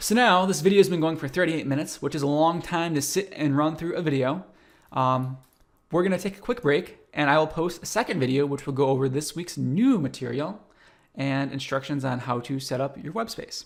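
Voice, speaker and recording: A fairly high-pitched man's voice at a fairly quick pace, with ordinary pitch variation. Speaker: university instructor. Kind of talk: recorded lecture. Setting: recorded course video. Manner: fast.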